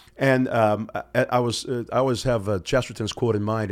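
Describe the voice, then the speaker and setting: A man talks with an American accent. His intonation stays fairly even. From Florida. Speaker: podcast host. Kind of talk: interview. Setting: studio.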